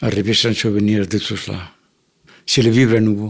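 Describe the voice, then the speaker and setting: A man with a Catalan accent speaks with vocal fry. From Catalonia, Barcelona, Spain. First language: Catalan (speaking French). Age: 80s+. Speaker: elderly immigrant interviewee. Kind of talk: personal testimony. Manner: halting, with repetitions.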